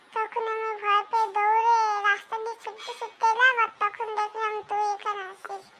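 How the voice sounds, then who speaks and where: An extremely high-pitched, cartoonish character voice moves at a moderate pace in a monotone, flat intonation. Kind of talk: comic overacting. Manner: exaggerated comic cartoon delivery.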